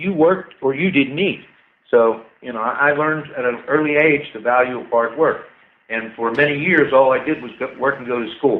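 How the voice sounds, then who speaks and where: Fairly high in pitch, a man has a normal speaking voice and talks at a moderate pace. His pitch varies in an ordinary way, while his loudness swings widely. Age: 60s. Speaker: inventor and scientist. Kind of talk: casual chat. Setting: radio show.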